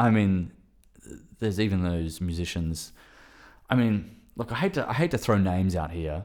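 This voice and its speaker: In an Australian accent, a man speaks with a very deep, low pitch and ordinary pitch variation. Long pauses come often. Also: moderate pace. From Western Australia. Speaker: filmmaker. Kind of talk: casual chat.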